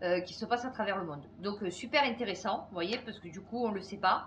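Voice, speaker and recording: Over audible room echo, a woman's fairly high voice comes across somewhat breathy. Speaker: YouTuber commentator. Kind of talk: casual vlog chat. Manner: animated.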